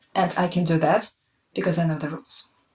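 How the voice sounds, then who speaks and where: A woman speaks with a non-native accent and a fairly low pitch. Her voice is somewhat breathy, and her intonation fairly even. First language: not English. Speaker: language teacher. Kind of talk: tutorial. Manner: hesitant, many fillers.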